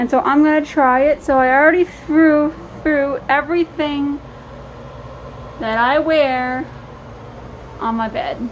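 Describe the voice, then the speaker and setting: Over noticeable background noise, a high-pitched woman with an American accent speaks fairly slowly with fairly even intonation and long, frequent pauses. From Minnesota. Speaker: vlogger. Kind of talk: casual vlog chat. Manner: many filler words.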